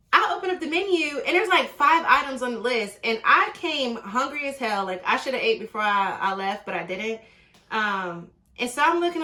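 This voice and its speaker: A woman speaks in a high pitch with an animated tone and very wide pitch swings. Noticeable background noise runs underneath. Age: 30s. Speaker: dating vlogger. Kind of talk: casual storytelling vlog. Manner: fast.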